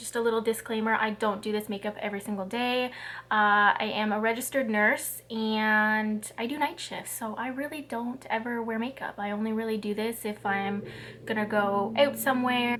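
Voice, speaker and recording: Using a normal speaking voice with a Canadian accent, a woman speaks at a fairly high pitch and a moderate pace with fairly even intonation. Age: 20s. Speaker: registered nurse and beauty vlogger. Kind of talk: casual chat while doing makeup. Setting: sitting in front of a camera at home.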